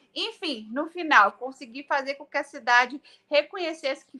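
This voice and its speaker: Recorded very cleanly against a silent background, a woman with a Minas Gerais accent speaks at a moderate pace. Her voice is high, bright and sharp, raised and projected. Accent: Brazilian mineiro, swallows words. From Brazil, Minas Gerais. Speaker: politician, city councillor running for state office. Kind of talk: interview.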